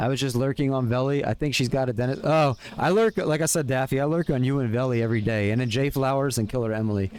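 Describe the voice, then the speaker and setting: A man with an American accent talks at a very fast pace with hardly any pauses. His pitch is medium. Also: ordinary pitch variation, very even loudness. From US, Pennsylvania (Philadelphia area). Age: 30s. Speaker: streamer. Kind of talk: casual chat. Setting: live stream. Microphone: new earbuds and mic.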